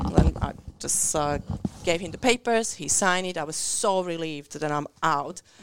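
Delivered with an Eastern European accent, the speech shows big swings in loudness and ordinary pitch variation. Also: woman, fairly low pitch for a woman. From Central or Eastern Europe. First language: Eastern European language. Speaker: community radio co-host. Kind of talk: casual chat. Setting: radio studio. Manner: fast talker.

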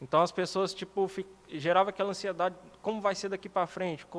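A man is speaking. His pace is fairly quick. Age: 30s. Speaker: writer and musician, hospital doorman. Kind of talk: casual interview.

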